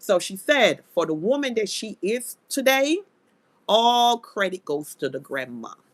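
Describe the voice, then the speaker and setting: A woman's fairly high voice with very wide pitch swings, at a fairly slow pace. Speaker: live stream commentary host. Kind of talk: live stream commentary. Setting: live stream.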